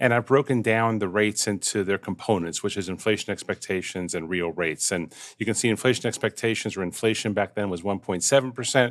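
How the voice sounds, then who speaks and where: A man with a fairly low, ordinary speaking voice talks with ordinary pitch variation. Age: 60s. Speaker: market research analyst. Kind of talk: market analysis discussion. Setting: video call. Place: home room. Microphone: headset.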